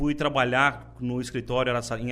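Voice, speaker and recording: This is a man speaking. His pitch is medium. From Brazil, interior of São Paulo state (Buritama). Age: 30s. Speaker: politician, party leader. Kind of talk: interview. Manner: halting, many repetitions.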